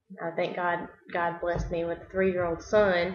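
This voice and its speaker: A woman with a Southern US accent at a moderate pace. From US South, South Carolina. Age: 30s. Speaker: nurse. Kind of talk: self-introduction video. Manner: halting.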